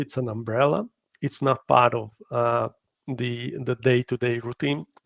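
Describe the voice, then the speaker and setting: Speaking at a fairly slow pace, this voice carries a strong Hungarian accent. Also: man. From Hungary. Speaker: company founder, workplace wellbeing expert. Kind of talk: live interview. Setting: live online stream. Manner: halting, many fillers.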